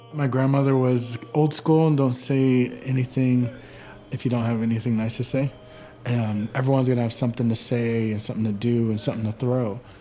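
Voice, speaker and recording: In a calm tone and a monotone, flat intonation, a man of medium pitch speaks at a fairly quick pace over noticeable background noise. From Warm Springs Indian Reservation, Oregon. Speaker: artist and storyteller. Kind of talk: documentary interview answer. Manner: calm, reflective.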